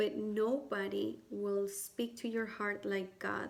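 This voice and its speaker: A woman with a non-native accent speaks at a very slow pace. Noticeable background noise runs behind her. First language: not English. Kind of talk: personal testimony and advice to camera. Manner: hesitant, many fillers.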